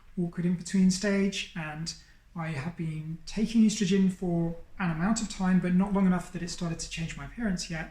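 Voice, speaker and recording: Somewhat breathy and dark, mellow in tone, a woman with a British accent speaks with ordinary pitch variation. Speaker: YouTuber. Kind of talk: personal coming-out monologue. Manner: hesitant, with fillers.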